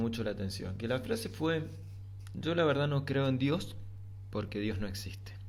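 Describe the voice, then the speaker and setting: With audible room echo around him, a man with an Argentine accent talks at a moderate pace, his fairly low pitch carried by lively intonation. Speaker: philosophy podcaster. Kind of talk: reflective monologue. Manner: halting.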